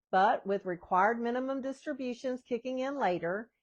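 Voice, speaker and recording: Here a woman speaks with a high pitch and lively intonation. Her pace is moderate, and the background is quiet. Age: 60s. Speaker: retirement planning vlogger. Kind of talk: casual talk to camera about personal finance. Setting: home.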